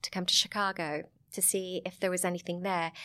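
The speaker talks at a fairly quick pace in a Sussex accent. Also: woman, very clean recording, silent background. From southern England, Sussex. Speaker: vineyard owner and film producer. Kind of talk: casual interview chat.

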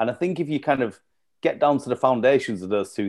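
A man with a Yorkshire accent. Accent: Yorkshire (Leeds). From northern England, East Leeds. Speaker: cafe and venue co-founder. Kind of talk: casual chat.

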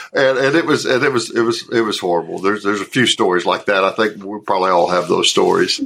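A Southern accent comes through at a very fast pace with hardly any pauses. Noticeable background noise sits underneath. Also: man. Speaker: actor. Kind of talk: interview. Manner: halting, many repeated words.

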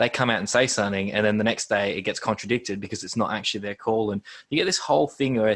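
Talking at a very fast pace, a man uses a medium-pitched voice. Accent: Australian. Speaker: podcast host and stadium match day MC. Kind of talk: casual chat. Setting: video call. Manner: loud.

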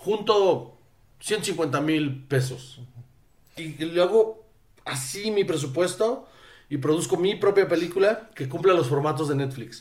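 A man's fairly high voice with lively intonation at a fairly slow pace. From northern Mexico (Sonora). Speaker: film school graduate, filmmaker. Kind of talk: casual chat.

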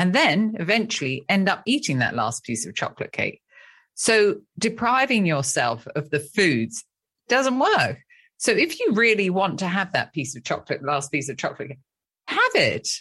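A woman with a British accent speaks at a medium pitch and moderate pace, her bright, sharp tone swinging very widely in pitch with vocal fry, against a quiet background. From England. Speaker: therapist and author.

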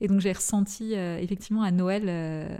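The woman's tone is dark and mellow, at a medium pitch. She speaks at a very slow pace with fairly even intonation. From Paris suburbs, France. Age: 30s. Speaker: fashion entrepreneur. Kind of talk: interview. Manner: halting, many hesitations.

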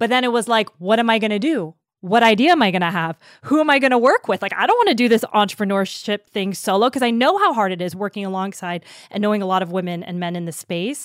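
Lively in intonation and very fast, a woman at a medium pitch speaks in a dry, close sound with no echo. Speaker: podcast host and founder. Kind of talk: interview as guest, casual conversation.

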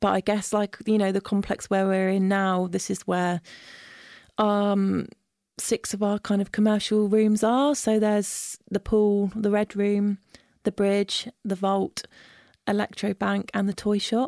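A woman with a southern English accent at a fairly slow pace, monotone and flat in intonation, very even in loudness, with a dry, close sound with no echo on a very clean recording with a silent background. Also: medium pitch for a woman. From Isle of Wight, southern England. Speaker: studio booking manager. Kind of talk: interview. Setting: recording studio.

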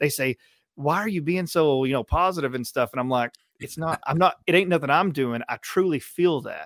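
An unremarkable speaking voice from a man, fairly high in pitch, at a moderate pace with ordinary pitch variation, on a very clean recording with a silent background. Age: 30s. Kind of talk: testimony.

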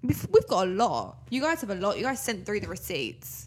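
A woman at medium pitch and a moderate pace, with very wide pitch swings.

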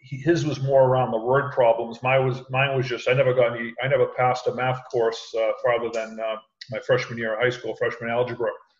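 At a fairly quick pace with hardly any pauses, a man speaks at a medium pitch in a somewhat breathy, monotone, flat voice. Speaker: sales executive and call center manager. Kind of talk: casual interview chat. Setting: video call.

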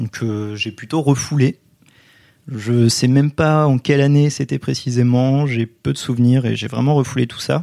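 A man of medium pitch speaks at a moderate pace with fairly even intonation. The recording is very clean, with a silent background and a dry, close sound with no echo. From France, Poitiers. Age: 20s. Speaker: history student. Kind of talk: interview testimony. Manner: hesitant with fillers.

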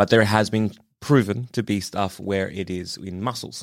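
Recorded very cleanly against a silent background, a man with an Australian accent speaks at a fairly low pitch with ordinary pitch variation. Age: 30s. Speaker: fill-in podcast co-host. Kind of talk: casual chat.

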